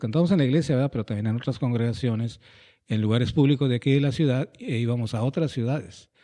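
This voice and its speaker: A man speaks at a medium pitch with ordinary pitch variation. His tone is dark and mellow against a quiet background. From northwestern Mexico, Hermosillo, Sonora. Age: 60s. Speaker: pastor and educator. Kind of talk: interview, life story.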